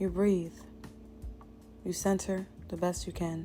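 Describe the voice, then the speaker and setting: A woman speaks at a moderate pace in a fairly low pitch, with music in the background. Her intonation stays monotone and flat. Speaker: motivational speaker. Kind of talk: motivational pep talk. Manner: frank, casual.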